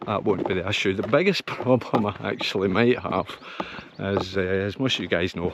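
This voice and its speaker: With noticeable background noise behind him, a man with a Scottish accent talks at a moderate pace with ordinary pitch variation. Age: 60s. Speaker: hiking vlogger. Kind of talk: casual vlog. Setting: outdoors. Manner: halting.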